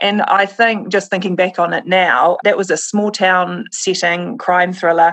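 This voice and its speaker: Speech in a New Zealand accent comes at a fairly slow pace with fairly even intonation. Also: woman. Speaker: crime novelist. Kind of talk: casual interview chat.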